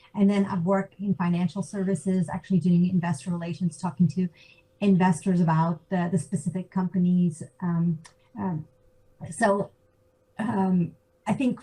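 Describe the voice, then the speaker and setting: A woman with an American accent, somewhat breathy, dark and mellow in tone, with long, frequent pauses. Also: medium pitch for a woman, ordinary pitch variation, moderate pace. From US (Georgia, Atlanta). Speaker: business consultant. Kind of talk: interview. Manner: halting, many fillers.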